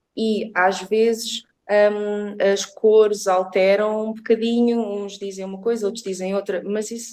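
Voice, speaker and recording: With a dark, mellow tone and a fairly high pitch, a woman speaks at a very slow pace in a monotone, flat intonation. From Portugal, born in England. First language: English (speaking Portuguese). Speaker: reiki therapist. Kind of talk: interview. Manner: halting.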